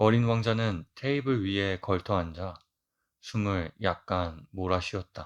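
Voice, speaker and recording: A man at a very slow pace, against a quiet background. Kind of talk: audiobook reading for sleep.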